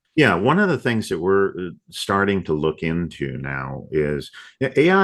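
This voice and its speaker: The man's pitch is very deep and low. Vocal fry runs through his voice. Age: 60s. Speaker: software company CEO. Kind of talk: podcast interview.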